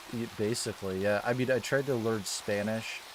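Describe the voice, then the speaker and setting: A man with a slight Maine accent speaks fairly slowly at a fairly low pitch, his intonation monotone and flat, over noticeable background noise. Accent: subtle Maine. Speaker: gaming streamer. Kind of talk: casual chat. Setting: livestream.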